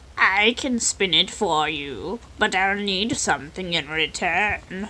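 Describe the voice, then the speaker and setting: A woman uses a put-on character voice at a medium pitch with lively intonation. She goes at a fairly slow pace over clear background noise. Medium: read story. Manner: sly, bargaining.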